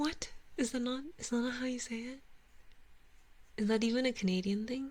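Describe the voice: A woman with a non-native accent speaks in a high pitch. Her intonation stays fairly even. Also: fairly quick pace. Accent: faint second-language.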